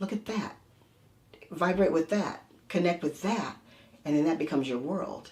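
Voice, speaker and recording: A woman speaks with an American accent at a moderate pace, her fairly low, somewhat breathy voice showing ordinary pitch variation. Long, frequent pauses run through her speech. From United States. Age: 60s. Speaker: energy healer. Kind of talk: interview.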